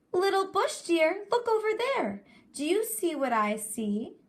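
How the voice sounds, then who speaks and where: A put-on character voice comes out squeaky. It moves at a fairly slow pace. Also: woman, extremely high pitch for a woman. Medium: read story. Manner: smooth, sly.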